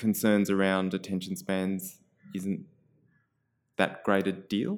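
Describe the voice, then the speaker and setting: On a very clean recording with a silent background, a man with an Australian accent speaks at a moderate pace in a fairly low pitch. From Australia, Canberra. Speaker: community radio presenter and writer. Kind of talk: casual interview.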